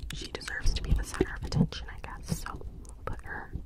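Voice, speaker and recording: A woman whispers at a moderate pace. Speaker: ASMR content creator. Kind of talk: ASMR video, casual talk to camera. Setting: home recording with close microphone. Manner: whispered. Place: home room. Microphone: studio mic.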